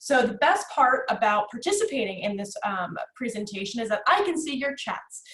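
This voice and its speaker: Against noticeable background noise, a woman with an American accent speaks at a high pitch with very wide pitch swings and hardly any pauses. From US Northeast, North Jersey. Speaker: executive assistant trainer, presenter. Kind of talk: webinar presentation. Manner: fast; high energy.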